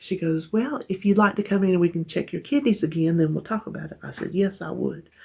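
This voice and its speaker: A woman with a Southern US accent. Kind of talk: casual talk to camera.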